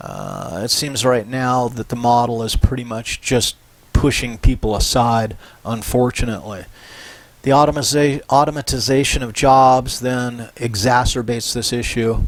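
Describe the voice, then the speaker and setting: Fairly even in intonation, a man talks in an unremarkable speaking voice at a medium pitch. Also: moderate pace. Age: 60s. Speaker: professor. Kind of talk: lecture. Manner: casual, conversational.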